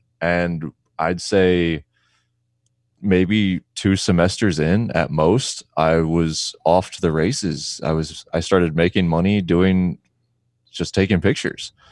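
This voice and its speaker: A man with a very deep, low voice speaks at a very slow pace with fairly even intonation, the sound dry and close with no echo on a very clean recording with a silent background. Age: 30s. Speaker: photographer. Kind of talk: interview.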